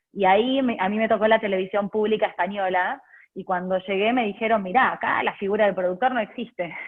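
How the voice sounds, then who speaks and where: At a very fast pace, a woman speaks with a medium pitch and fairly even intonation. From Argentina, Buenos Aires. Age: 30s. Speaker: journalist. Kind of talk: interview. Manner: hesitant, frequent fillers.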